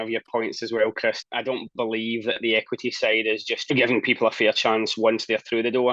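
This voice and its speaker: With a Scottish accent, a man speaks at a moderate pace in a dry, close sound with no echo. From Scotland. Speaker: talent and people strategist. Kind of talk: interview.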